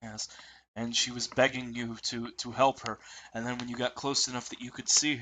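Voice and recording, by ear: Someone reads a passage out loud. The voice sounds natural.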